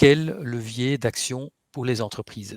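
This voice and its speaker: A man with a medium pitch speaks very slowly, with ordinary pitch variation, in a dry, close sound with no echo. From Flanders, Belgium. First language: Dutch (speaking French). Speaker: webinar host. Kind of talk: webinar introduction. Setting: online webinar. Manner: hesitant, many fillers.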